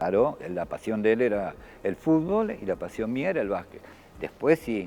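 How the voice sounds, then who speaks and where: With an Argentine accent and a dark, mellow tone, a man speaks at a medium pitch and moderate pace, his pitch swinging very widely. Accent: Argentine Spanish (rioplatense voseo). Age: 60s. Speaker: former basketball player and sports official. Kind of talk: TV interview. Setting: empty basketball court.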